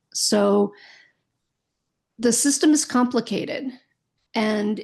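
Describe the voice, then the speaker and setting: A woman speaks at a very slow pace with long, frequent pauses, her voice fairly high in pitch and somewhat breathy. Her pitch variation is ordinary, and the background is quiet. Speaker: podcast host, Alzheimer's educator and caregiver. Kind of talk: educational podcast monologue. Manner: occasionally stumbling over words.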